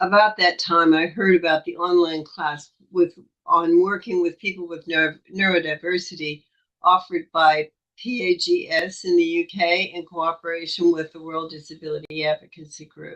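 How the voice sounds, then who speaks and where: The delivery is monotone and flat at a moderate pace, with big swings in loudness. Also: woman, fairly low pitch for a woman. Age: 80s+. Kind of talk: prepared talk.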